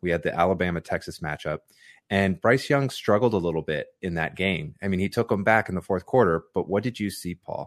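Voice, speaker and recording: A man with a very deep, low pitch talks at a fairly quick pace with ordinary pitch variation. The sound is dry and close with no echo, over a quiet background. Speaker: football podcast co-host. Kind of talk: sports podcast discussion. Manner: hesitant, many fillers.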